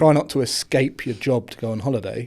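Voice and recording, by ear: Very clean recording with a silent background, a man at medium pitch with a slightly mellow tone, ordinary pitch variation and a fairly quick pace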